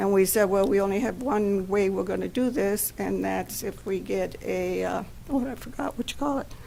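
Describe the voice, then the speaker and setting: Audible room echo follows a woman who talks at a moderate pace. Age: 70s. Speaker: longtime resident addressing city council. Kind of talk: personal reminiscence at a public meeting. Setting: city council meeting.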